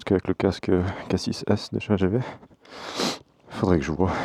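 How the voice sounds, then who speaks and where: This man has a very deep, low voice with fairly even intonation. He talks at a moderate pace. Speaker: motovlogger. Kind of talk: casual vlog. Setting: on a motorcycle, mic inside helmet.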